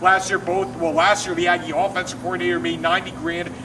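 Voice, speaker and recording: A high-pitched man talking at a fairly quick pace over noticeable background noise. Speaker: sports show co-host. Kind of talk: casual sports talk. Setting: outdoors. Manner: animated; loud.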